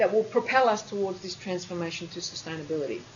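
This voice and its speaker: A woman talks very fast in an Australian accent. Room echo is audible. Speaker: university lecturer. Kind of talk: lecture.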